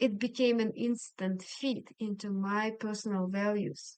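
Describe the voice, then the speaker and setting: A woman speaks at a fairly slow pace with a Russian accent. Her pitch is medium and her intonation fairly even. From Siberia, Russia. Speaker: language coach. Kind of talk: interview.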